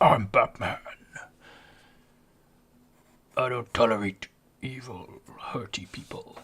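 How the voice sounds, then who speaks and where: Using a put-on character voice, a man speaks raspy and gravelly at a medium pitch and a fairly slow pace, with long, frequent pauses. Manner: grumpy, stern.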